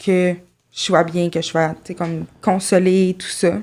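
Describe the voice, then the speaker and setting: Over a silent background in a very clean recording, a woman speaks very slowly in a fairly low pitch, her tone dark and mellow and her intonation monotone and flat. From Quebec, Saint-Jérôme. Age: 20s. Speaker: podcast guest. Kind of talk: interview testimony.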